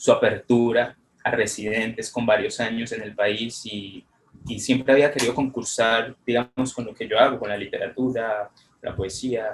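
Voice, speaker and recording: Monotone and flat in intonation, a man at a medium pitch talks with big swings in loudness. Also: moderate pace. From Colombia. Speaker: photographer and poet, contest winner. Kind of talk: interview. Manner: halting.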